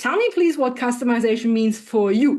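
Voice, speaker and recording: A woman with a German accent talks at a very fast pace, her pitch high and her intonation lively. The background is quiet. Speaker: AI specialist and leadership trainer. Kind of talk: podcast interview. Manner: animated.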